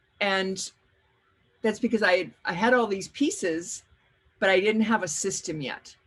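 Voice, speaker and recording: The speaker has lively intonation and moves at a fairly slow pace. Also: woman. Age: 60s. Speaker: workshop leader and life coach. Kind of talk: webinar workshop talk. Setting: video call webinar. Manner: halting, with frequent repetitions.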